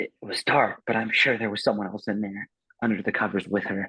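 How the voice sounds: Quiet surroundings behind a natural reading voice.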